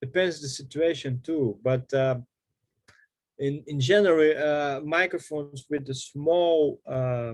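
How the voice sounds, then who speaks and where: A man talks with a fairly high pitch that shifts by an ordinary amount. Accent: Portuguese. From Brazil. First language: Portuguese. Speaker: harmonica player. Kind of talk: workshop Q&A. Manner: halting.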